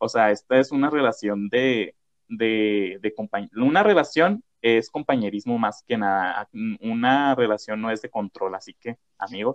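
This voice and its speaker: Pitch shifts in a typical way in what is an ordinary speaking voice. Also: man, medium pitch for a man, fairly slow pace. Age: 20s. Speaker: podcast host. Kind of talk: casual chat.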